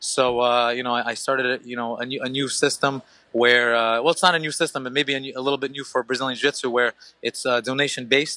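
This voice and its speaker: Speaking at a very fast pace, a man has a bright, sharp tone and a monotone, flat intonation. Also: medium pitch for a man. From Ukraine. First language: Russian. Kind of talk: podcast interview. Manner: hesitant, many fillers and restarts.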